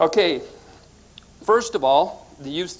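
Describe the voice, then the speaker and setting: This is a man's voice with ordinary pitch variation. The pace is moderate. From US South (born West Coast). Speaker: conspiracy researcher and author. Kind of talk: lecture.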